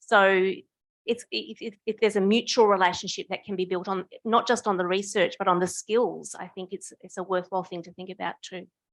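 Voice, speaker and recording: A woman with an Australian accent, fairly quick, flat and monotone, in a dry, close sound with no echo. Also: medium pitch for a woman, big swings in loudness. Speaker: union official and novice researcher. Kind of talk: audience comment at academic forum. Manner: halting, with many false starts.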